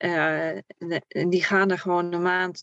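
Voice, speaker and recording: A woman talks in a medium-pitched voice with monotone, flat intonation. The sound is dry and close, with no echo. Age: 30s. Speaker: camper traveler. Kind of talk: casual interview.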